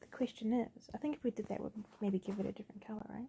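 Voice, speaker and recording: A woman speaks very fast and somewhat breathy, at a fairly high pitch. Her tone is dark and mellow, and her intonation fairly even. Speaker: digital artist streamer. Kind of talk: casual painting commentary. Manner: halting.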